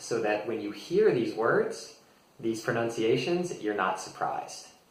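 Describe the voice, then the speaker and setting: A man with an American accent at a moderate pace, amid noticeable background noise and audible room echo. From United States. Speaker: English teacher. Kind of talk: tutorial. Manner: relaxed with frequent fillers.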